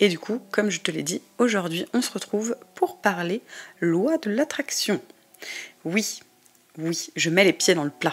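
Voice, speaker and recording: Speaking very slowly with long, frequent pauses, a woman at a medium pitch keeps her intonation lively. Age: 20s. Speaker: podcast host, tarot reader. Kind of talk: casual podcast monologue. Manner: hesitant, many filler sounds.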